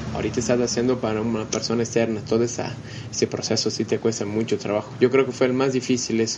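Very fast, monotone speech with flat intonation in a Portuguese accent, over noticeable background noise. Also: man, medium pitch for a man. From Brazil. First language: Portuguese (speaking Spanish). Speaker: business consultant. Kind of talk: interview. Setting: at the guest's home.

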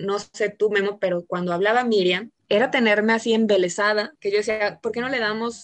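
A woman's medium-pitched voice with a Mexican accent, at a moderate pace and with ordinary pitch variation. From Mexico, Jalisco. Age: 30s. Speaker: podcast co-host. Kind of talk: casual chat.

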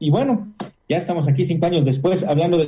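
This man has a high voice for a man, with a dark, mellow tone. He talks at a fairly quick pace with ordinary pitch variation. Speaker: radio host and psychologist. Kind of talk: radio interview.

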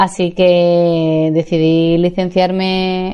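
A woman's fairly low-pitched, a normal speaking voice with fairly even intonation. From Seville, Spain. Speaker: life coach and podcaster. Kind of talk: podcast monologue.

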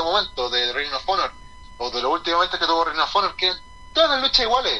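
This man talks at a very fast pace with a Chilean accent over noticeable background noise. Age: 30s. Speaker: professional wrestler. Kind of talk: casual interview.

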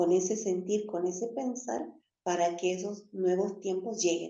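A plain, everyday voice at a fairly slow pace. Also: woman. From northern Argentina, Jujuy. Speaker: spiritual teacher. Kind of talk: spiritual teaching talk. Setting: live stream.

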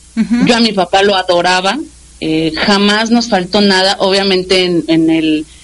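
A woman at a medium pitch talks at a moderate speed, her pitch varying in an ordinary way, with clear background noise present. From Mexico City. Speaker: radio station director. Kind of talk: interview. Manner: halting.

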